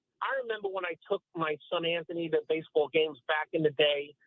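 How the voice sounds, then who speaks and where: In a New York accent, a man talks at a moderate pace. His pitch is high, with ordinary variation. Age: 50s. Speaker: caller. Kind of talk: call-in radio show.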